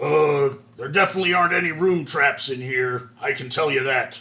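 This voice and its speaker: A man does a put-on character voice that is raspy and fairly high in pitch. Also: moderate pace. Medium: actual play.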